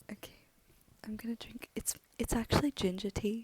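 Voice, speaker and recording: A woman's soft-spoken whisper, somewhat breathy, at a moderate pace with a dry, close sound and no echo. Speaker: audiobook reader. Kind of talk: casual chat. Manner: near-whisper, soft; hesitant, many ums.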